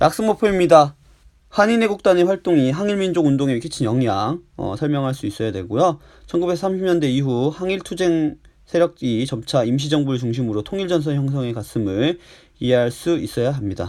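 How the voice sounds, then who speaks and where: His pitch swinging very widely, a man speaks at a fairly quick pace. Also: fairly high pitch for a man. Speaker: high school history teacher. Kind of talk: recorded lecture. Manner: frequent filler pauses.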